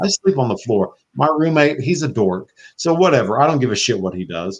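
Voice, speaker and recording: A man in a Southern US accent talks at a moderate pace with very wide pitch swings. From US South (Florida). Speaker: podcast host. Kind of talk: casual chat. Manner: animated.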